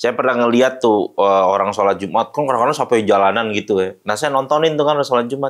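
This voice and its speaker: A man at a very fast pace, with very even loudness throughout. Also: medium pitch for a man, ordinary pitch variation. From Jakarta, Indonesia. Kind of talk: interview testimony.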